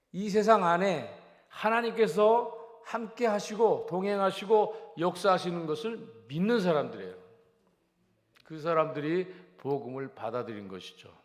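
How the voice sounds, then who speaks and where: Heard with audible room echo, a man with a high pitch moves at a fairly slow pace, his lively intonation paired with big swings in loudness. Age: 70s. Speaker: pastor. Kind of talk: sermon. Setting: church.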